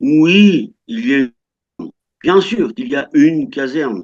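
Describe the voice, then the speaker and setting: Pitch leaps very widely up and down as a man talks. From France. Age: 60s. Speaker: French retiree living abroad. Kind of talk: interview. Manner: halting, many hesitations.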